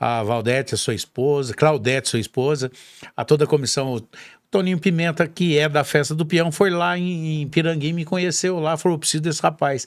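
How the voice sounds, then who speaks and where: A man talks at a fairly quick pace with a fairly high pitch and ordinary pitch variation against a quiet background. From Minas Gerais, Brazil (south Minas). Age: 50s. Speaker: rodeo announcer. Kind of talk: casual chat. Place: studio. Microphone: studio mic.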